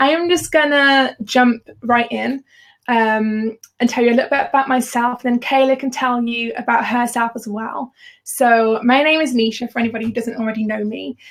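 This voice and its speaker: With a Birmingham accent, a woman speaks high-pitched at a moderate pace and with fairly even intonation. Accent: Birmingham (Brummie). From Birmingham, England. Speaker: freelance designer and business educator. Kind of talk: live webinar hosting. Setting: live video call webinar.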